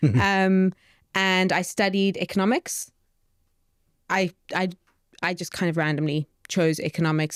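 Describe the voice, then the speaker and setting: A woman with a South African accent speaks at a moderate pace with fairly even intonation. The recording is very clean with a silent background, and the sound is dry and close with no echo. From South Africa, Johannesburg. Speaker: startup co-founder, behavioural economist. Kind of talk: podcast interview.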